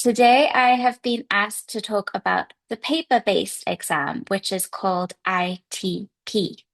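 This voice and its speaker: Over a quiet background, a woman with an English accent talks at a fairly slow pace and fairly high pitch, with lively intonation and hardly any pauses. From England. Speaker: English teacher. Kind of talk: seminar talk. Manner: hesitant fillers.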